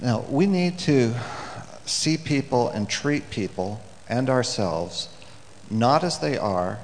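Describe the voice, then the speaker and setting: The pitch swings very widely at a very slow pace, broken by long, frequent pauses. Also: man. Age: 60s. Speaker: preacher. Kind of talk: sermon. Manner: halting.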